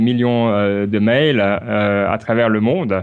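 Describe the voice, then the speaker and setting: A man speaks with a Swiss accent. The background is quiet. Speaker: podcaster and software worker. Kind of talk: interview. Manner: hesitant, many fillers.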